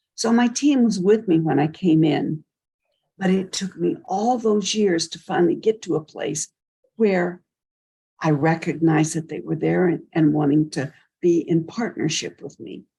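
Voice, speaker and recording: Her tone dark and mellow and somewhat breathy, a woman with a fairly low pitch speaks at a moderate pace with lively intonation. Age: 80s+. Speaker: mystic and sound healer. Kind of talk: interview.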